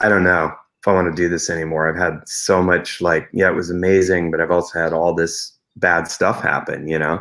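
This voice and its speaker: A man speaks at a fairly quick pace in a very deep, low pitch, his tone bright and sharp and his intonation flat and monotone. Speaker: rock musician and producer. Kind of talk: interview. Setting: live online interview.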